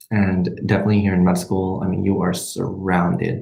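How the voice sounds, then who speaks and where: With a Spanish accent, a man with a very deep, low pitch speaks at a moderate pace with ordinary pitch variation and audible room echo. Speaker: medical student vlogger. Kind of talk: livestream Q&A chat. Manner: hesitant, many fillers.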